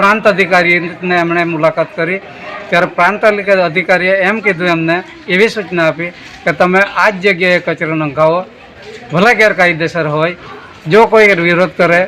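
A man speaks at a high pitch with fairly even intonation. Noticeable background noise sits behind him. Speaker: village resident spokesperson. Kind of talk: news interview statement.

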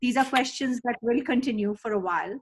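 A woman talks at a very fast pace. Her pitch varies in an ordinary way over a quiet background. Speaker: webinar organizer and host; host. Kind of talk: webinar introduction. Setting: video call. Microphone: webcam.

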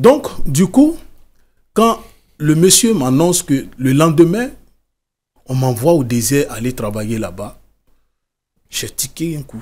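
At a very slow pace with long, frequent pauses, a somewhat breathy man speaks at a fairly high pitch, with very wide pitch swings and big swings in loudness. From Côte d'Ivoire. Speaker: author and former migrant worker; interview guest. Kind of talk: interview testimony. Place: studio. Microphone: studio mic.

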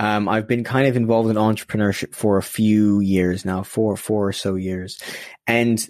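Delivered at a moderate pace with an American accent, a plain, everyday voice carries ordinary pitch variation. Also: man. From US West Coast, then UK. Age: young. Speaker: social entrepreneur. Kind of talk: casual interview conversation. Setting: remote call.

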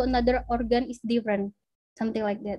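A woman's dark, mellow voice with ordinary pitch variation, in a dry sound with no echo and a quiet background. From Indonesia. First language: Indonesian. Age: 20s. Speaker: biomedical researcher; presenter at teacher club. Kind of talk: lecture. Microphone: video call.

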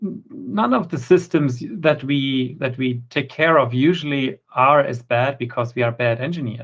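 A man speaks with lively intonation over a quiet background. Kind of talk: conference talk.

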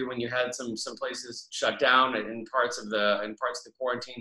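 Against a quiet background, a man speaks at a fairly quick pace with audible room echo. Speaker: comic book writer. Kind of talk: interview host talk. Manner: casual, hesitant. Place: home room. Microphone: webcam.

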